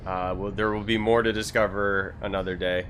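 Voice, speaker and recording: The speaker talks at a moderate pace with fairly even intonation in an American accent, with audible room echo. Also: man. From US South. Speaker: gaming streamer. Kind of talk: live gameplay stream commentary. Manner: casual, rambling with repetitions.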